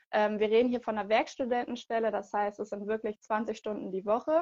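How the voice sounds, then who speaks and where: A woman's plain, everyday voice, fairly high in pitch, at a moderate pace against a quiet background. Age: 20s. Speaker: product trainer for a sportswear brand. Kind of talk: interview. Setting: video call.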